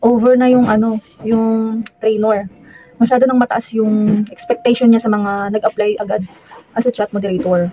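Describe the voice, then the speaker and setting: Soft-spoken delivery keeps a fairly even intonation throughout. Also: woman. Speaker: vlogger, chat moderator. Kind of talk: casual vlog talk. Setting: at home near the gate, outdoors nearby. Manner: hesitant, many fillers.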